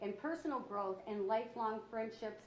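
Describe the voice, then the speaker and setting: This woman speaks with an American accent in a fairly high pitch. Noticeable background noise and audible room echo come through. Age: 60s. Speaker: county council president. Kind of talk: council meeting, reading commendation. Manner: halting, stumbling reading.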